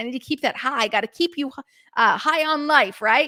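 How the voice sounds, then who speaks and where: A woman speaks in a raised, projected voice with a bright, sharp tone. Her delivery is animated with lively intonation, and the sound is dry and close with no echo. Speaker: podcast host. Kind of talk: podcast monologue, call to action. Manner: fast.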